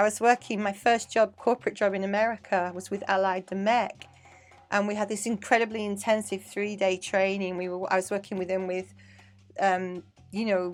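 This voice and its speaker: A woman talks at a moderate pace with a medium pitch. Music plays in the background. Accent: English. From England (Manchester). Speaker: dance teacher and choreographer. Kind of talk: casual interview chat. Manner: animated.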